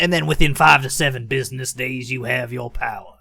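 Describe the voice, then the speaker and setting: This is a man with a medium pitch. He is doing a put-on character voice. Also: fairly quick pace. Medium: actual play. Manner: fast-talking salesman, casual.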